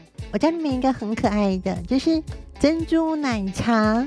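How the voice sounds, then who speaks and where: Woman's voice with music in the background. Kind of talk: casual vlog talk to camera. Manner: practiced feminine, soft voice.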